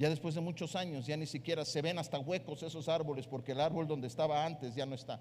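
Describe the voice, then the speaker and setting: A man's fairly high, fairly even voice at a fairly quick pace, with audible room echo. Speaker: pastor. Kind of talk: sermon.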